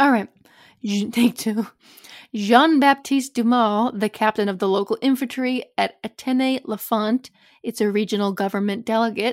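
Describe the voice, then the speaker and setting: A woman at a fairly high pitch and moderate pace, fairly even in intonation, in a dry, close sound with no echo and a very clean recording, silent background. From US Midwest. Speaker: podcast co-host. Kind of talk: casual chat, reading research notes.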